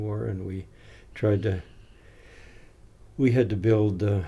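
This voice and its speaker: With audible room echo around him, a man speaks in a fairly low, somewhat breathy voice with a dark, mellow tone and fairly even intonation. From New England, Maine (Down East). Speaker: retired missionary and educator. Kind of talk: interview. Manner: halting.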